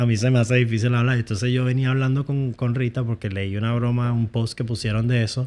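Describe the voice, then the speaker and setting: Speaking at a fairly quick pace, this man has a normal speaking voice pitched in the medium range. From United States, Venezuelan family. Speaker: YouTuber. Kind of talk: casual chat.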